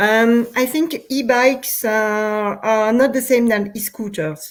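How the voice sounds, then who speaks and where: Here a woman speaks in a French accent at a very slow pace. Her intonation is fairly even. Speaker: urban cycling policy official. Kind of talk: interview. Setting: live stream. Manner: halting, many fillers.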